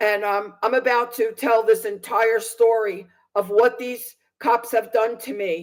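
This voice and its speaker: Speaking at a fairly slow pace, a woman uses a fairly high pitch and fairly even intonation. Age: 60s. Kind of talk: testimony.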